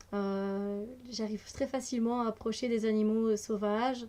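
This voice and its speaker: Her voice has a dark, mellow tone and fairly high pitch as the woman speaks at a fairly slow pace in monotone, flat intonation. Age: 30s. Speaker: energy healer and card reader. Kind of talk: casual vlog self-introduction. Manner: hesitant, many fillers.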